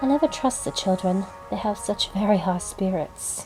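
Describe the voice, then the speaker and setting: A woman speaks at a moderate pace in a medium pitch, with music playing in the background. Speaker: hobbyist audiobook reader. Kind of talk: audiobook narration with character dialogue.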